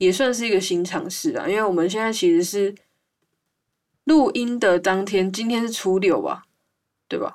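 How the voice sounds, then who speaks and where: A woman speaks with a Taiwanese accent at a medium pitch and an ordinary amount of pitch variation. Her pace is moderate, broken by long, frequent pauses. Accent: Taiwanese Mandarin. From Taiwan, Hualien. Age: 20s. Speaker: podcast host. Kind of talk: casual chat. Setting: remote recording over voice channel.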